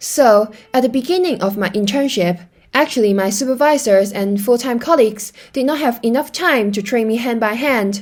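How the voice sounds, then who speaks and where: The speaker has a Hong Kong accent, lively intonation and a moderate pace. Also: woman, fairly high pitch for a woman. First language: Cantonese. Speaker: hospitality student. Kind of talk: presentation.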